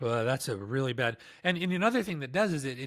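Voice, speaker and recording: The recording is very clean, with a silent background. A man with an unremarkable speaking voice talks at a medium pitch and moderate pace, his intonation lively. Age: 50s. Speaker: podcast host. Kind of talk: casual chat.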